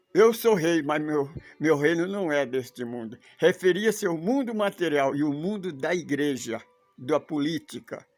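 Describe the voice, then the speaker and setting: A man with fairly high pitch and lively intonation, at a fairly slow pace, with music in the background. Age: 80s+. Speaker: religious teacher. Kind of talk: religious study talk; complaint rant. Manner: halting.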